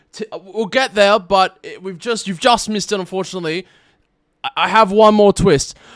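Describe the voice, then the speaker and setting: Speaking at a fairly quick pace with a high pitch, a man shows big swings in loudness in a dry, close recording with no echo. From Australia. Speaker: streamer and tournament host. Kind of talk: live stream post-game interview. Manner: animated.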